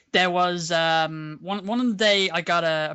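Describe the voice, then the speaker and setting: A man speaks with a Dublin accent. His intonation stays fairly even. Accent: Dublin Irish. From Ireland, Dublin. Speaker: online roleplay community member. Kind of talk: casual chat. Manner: halting.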